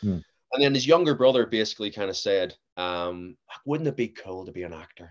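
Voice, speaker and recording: Pitch swings are very wide. A man speaks at a fairly quick pace. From Northern Ireland, near Belfast. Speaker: actor and author. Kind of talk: casual interview chat. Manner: halting, with repeated words.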